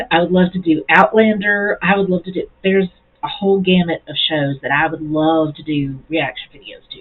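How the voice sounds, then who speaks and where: This woman's pitch is fairly low, with ordinary pitch variation. Her loudness swings widely. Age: middle-aged. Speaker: YouTube reaction video creator. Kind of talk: casual vlog talk. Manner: slow, halting with repetitions; rambling, restarts sentences.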